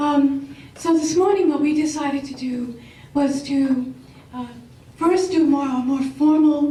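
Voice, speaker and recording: In a room with audible echo, a woman with a high pitch and a dark, mellow tone speaks at a fairly slow pace with fairly even intonation. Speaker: business professor. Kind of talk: panel presentation.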